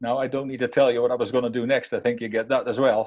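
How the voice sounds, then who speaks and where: A man talks in a Dutch accent. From Netherlands. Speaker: keynote speaker. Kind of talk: motivational talk. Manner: repetitive stammering restarts.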